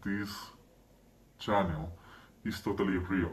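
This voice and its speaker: Audible room echo surrounds a man's somewhat breathy, fairly low voice at a moderate pace. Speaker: channel owner. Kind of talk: monologue to camera.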